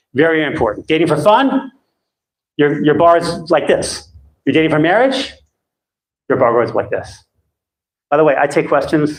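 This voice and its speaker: A man with lively intonation, very even loudness and long, frequent pauses. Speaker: dating coach. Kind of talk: live seminar. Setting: stage with audience. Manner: fast. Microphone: too loud, rumble, held too close.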